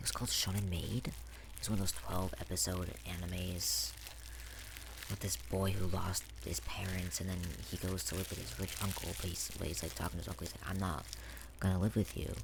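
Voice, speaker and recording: The speaker is soft-spoken and talks at a fairly quick pace, with noticeable background noise around them. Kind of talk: ASMR soft-spoken ramble; casual talk to camera.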